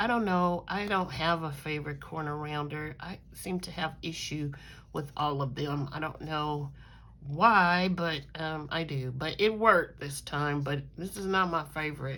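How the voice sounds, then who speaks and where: Audible room echo surrounds a bright, sharp tone that moves at a fairly slow pace with ordinary pitch variation. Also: woman. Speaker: crafting YouTuber. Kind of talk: casual craft show-and-tell. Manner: hesitant, many fillers.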